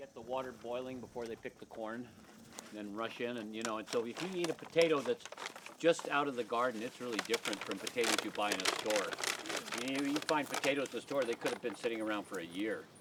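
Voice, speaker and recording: A man at a very fast pace amid noticeable background noise. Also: medium pitch for a man, ordinary pitch variation. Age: 80s+. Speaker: writer, editor, photographer, publisher. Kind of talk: documentary interview, casual reminiscing. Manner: halting, many fillers and restarts.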